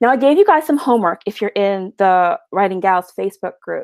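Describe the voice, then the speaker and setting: Her voice, at medium pitch with lively intonation, moves at a fairly quick pace, and the woman sounds dry and close with no echo. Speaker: romance novelist and former TV producer. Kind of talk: lecture. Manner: fast.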